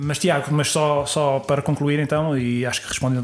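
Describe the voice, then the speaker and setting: This man's voice sits at a fairly high pitch. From Portugal, Sintra. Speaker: craft brewer. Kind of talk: casual interview. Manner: halting, many repetitions and fillers.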